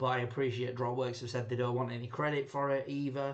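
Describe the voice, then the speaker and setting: Monotone, flat intonation with audible room echo. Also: man. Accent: Yorkshire. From Yorkshire, England. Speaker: rum reviewer, channel host. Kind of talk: casual tasting review. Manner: rambling, hesitant with fillers.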